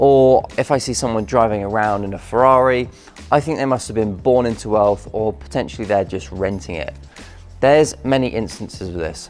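Faint music plays in the background. A man with a fairly low pitch speaks at a moderate pace. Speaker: fitness vlogger. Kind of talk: casual vlog chat. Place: gym. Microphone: lapel.

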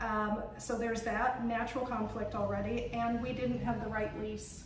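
Over noticeable background noise and audible room echo, a woman speaks at a moderate pace. Her fairly high voice has monotone, flat intonation. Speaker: cooking school owner and author. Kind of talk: casual chat. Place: kitchen.

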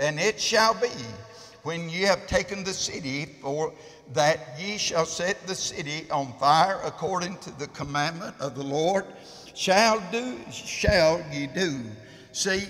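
Speaking at a very slow pace, a man's voice sits high in pitch, with ordinary pitch variation. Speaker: preacher. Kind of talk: sermon. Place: church.

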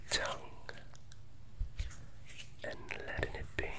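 A man whispers, soft-spoken throughout. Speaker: meditation guide. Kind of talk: guided meditation. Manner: slow soft whisper, calming. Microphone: earbuds.

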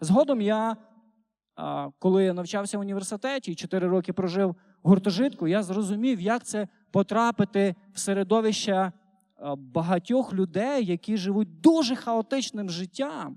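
A man's high-pitched voice, dark and mellow in tone, at a moderate pace with a dry, close sound and no echo. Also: ordinary pitch variation. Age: 30s. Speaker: preacher. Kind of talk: sermon. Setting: church.

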